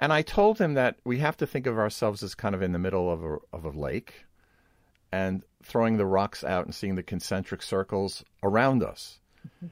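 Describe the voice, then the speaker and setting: Lively intonation at a moderate pace, with a dry, close sound, no echo, and a very clean recording over a silent background. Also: man, fairly low pitch for a man. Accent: Brooklyn. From Brooklyn, New York. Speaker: podcast host. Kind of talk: casual interview conversation.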